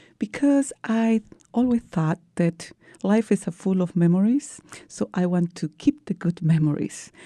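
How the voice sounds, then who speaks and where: In a Peruvian accent, a woman with a medium pitch and a dark, mellow tone talks at a fairly slow pace with lively intonation, the sound dry and close with no echo over a quiet background. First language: Spanish. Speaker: breast cancer survivor, teacher. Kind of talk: interview.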